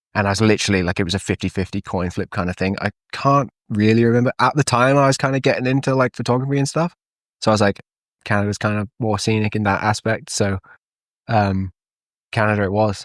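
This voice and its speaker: Someone talks very fast in a Welsh accent with ordinary pitch variation. The recording is very clean, dry and close, with a silent background and no echo. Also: man, fairly low pitch for a man. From Wales, Llandrindod area. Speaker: ski patroller and photographer. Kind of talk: casual chat. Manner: casual, lots of fillers.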